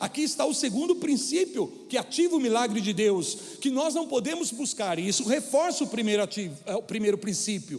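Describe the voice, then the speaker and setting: An extremely high-pitched man's voice with very wide pitch swings at a fairly quick pace, over noticeable background noise. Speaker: preacher. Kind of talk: sermon. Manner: stumbling over words.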